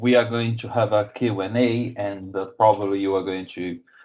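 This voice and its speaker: A man with a Brazilian accent speaks at a fairly slow pace in a fairly low pitch, his intonation fairly even. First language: Portuguese. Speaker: software company representative. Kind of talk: webinar presentation. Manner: halting, many fillers and repetitions.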